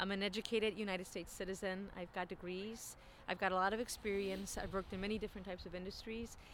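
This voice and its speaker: A woman with an American accent, very fast, at a medium pitch and in a monotone, flat intonation. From Chicago, US Midwest. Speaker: communications graduate. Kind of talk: casual interview.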